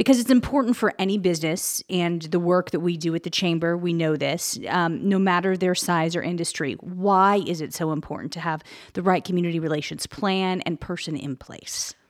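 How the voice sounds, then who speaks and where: With an unremarkable speaking voice, a woman talks fairly quickly at a fairly low pitch, with ordinary pitch variation and hardly any pauses. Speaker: podcast host. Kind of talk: interview conversation. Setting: studio.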